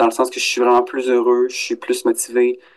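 The speech moves at a fairly quick pace in a Quebec accent. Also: man. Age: 30s. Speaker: adult student in career counselling. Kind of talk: interview.

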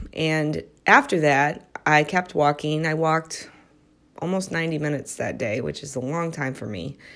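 This woman's very deep, low pitch carries vocal fry, and she speaks at a moderate pace with fairly even intonation. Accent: American. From US Midwest. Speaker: psychiatric prescriber and wellness podcaster. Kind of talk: solo podcast monologue. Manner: casual, laughs often.

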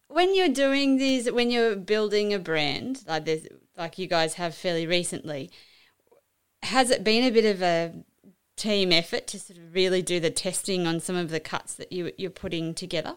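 Lively in intonation with big swings in loudness, a woman uses a plain, everyday voice at medium pitch and a moderate pace. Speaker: podcast host. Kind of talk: interview chat.

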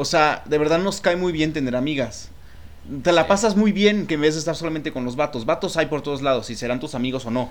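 A man's unremarkable speaking voice, fairly high in pitch, at a fairly quick pace. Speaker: podcast co-host. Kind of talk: casual chat.

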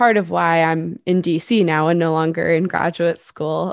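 A woman with an American accent uses a normal speaking voice, fairly low in pitch with lively intonation. The sound is dry and close with no echo, over a quiet background. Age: 20s. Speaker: podcast co-host, mental health researcher. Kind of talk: casual chat.

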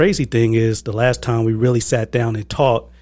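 A man talks at medium pitch and a moderate pace. His voice is somewhat breathy. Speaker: podcast co-host.

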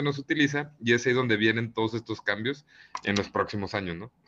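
A man's bright, sharp voice at medium pitch with ordinary pitch variation and a fairly quick pace, over a quiet background. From Mexico, Monterrey. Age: 20s. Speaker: real estate entrepreneur. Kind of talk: interview.

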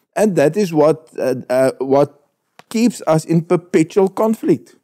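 In a dry, close sound with no echo, a man speaks fairly slowly at a fairly high pitch, with lively intonation and a dark, mellow tone. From South Africa, northern Transvaal. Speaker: politician. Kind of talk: panel debate. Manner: halting.

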